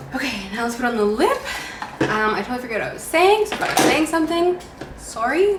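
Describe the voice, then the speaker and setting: Her pitch swings very widely as this woman talks at a moderate pace, with audible room echo and noticeable background noise. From Canada, Ontario. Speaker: beauty vlogger. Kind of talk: casual makeup tutorial chat.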